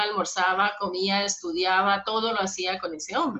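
A woman talks at a moderate pace in an ordinary speaking voice. Her pitch sits in the medium range. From Colombia, Bogotá. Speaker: podcast co-host, psychologist. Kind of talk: casual chat.

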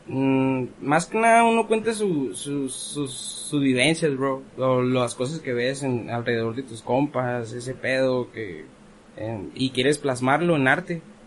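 Man speaking at a very slow pace with lively intonation amid noticeable background noise. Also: medium pitch for a man. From Ensenada, Baja California, Mexico. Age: 20s. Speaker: rapper. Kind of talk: casual chat. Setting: studio.

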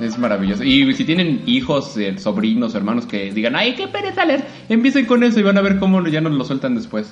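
A man with a Mexican accent at a fairly quick pace, hardly any pauses and very wide pitch swings, with music in the background. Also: fairly high pitch for a man. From Mexico, Puebla. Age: 30s. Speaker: opera singer. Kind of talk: interview. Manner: halting.

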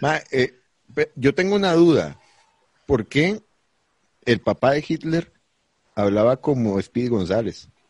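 A man with a Costa Rican accent, medium in pitch, very slow, with long and frequent pauses, very wide pitch swings, and a dry, close sound without echo. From Costa Rica, Palmares. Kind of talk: casual comedic chat, live-streamed. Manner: animated.

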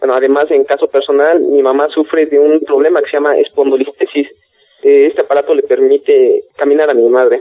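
A man speaks at a fairly quick pace with very even loudness throughout. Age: 20s. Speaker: engineer, inventor. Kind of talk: interview.

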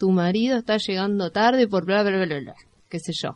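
Her voice is a plain, everyday voice, set at medium pitch for a woman with ordinary pitch variation. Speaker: community radio co-host. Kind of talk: casual radio chat.

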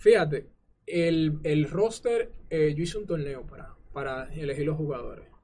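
This man has an ordinary speaking voice, pitched fairly high. He talks at a fairly slow pace with ordinary pitch variation. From Dominican Republic, San Cristóbal. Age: 20s. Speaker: gamer and streamer. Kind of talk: interview.

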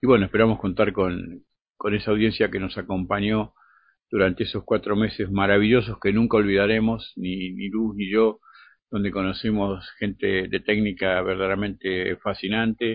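A man talks at a moderate pace in a fairly low voice with monotone, flat intonation. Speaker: radio host. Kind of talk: radio interview.

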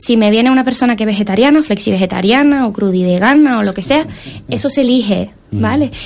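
Noticeable background noise sits behind this recording. A woman talks at a very fast pace and fairly high pitch, with ordinary pitch variation. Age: 20s. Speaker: allergy coach and entrepreneur. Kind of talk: interview.

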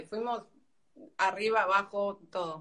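A bright, sharp tone carries the speech. It moves fairly slowly. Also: woman. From Argentina. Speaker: activist debating the host. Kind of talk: heated debate.

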